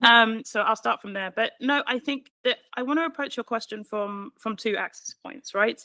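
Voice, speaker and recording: In a British accent, a woman with a fairly high pitch speaks at a moderate pace, her pitch variation ordinary and her loudness swinging widely. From Britain. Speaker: panelist, civil society advocate. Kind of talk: panel discussion.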